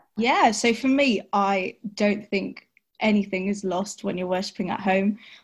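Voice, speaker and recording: Somewhat breathy, a woman with a London accent talks at medium pitch. Her intonation is fairly even and her pace fairly slow. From West London. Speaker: church worship assistant and youth choir leader. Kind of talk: casual chat.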